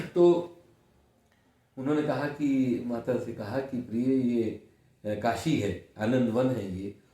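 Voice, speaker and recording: With a dark, mellow tone and a somewhat breathy quality, a man speaks at a medium pitch with lively intonation. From India, Varanasi (Kashi). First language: Kannada (speaking Hindi). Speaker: senior journalist. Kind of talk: interview.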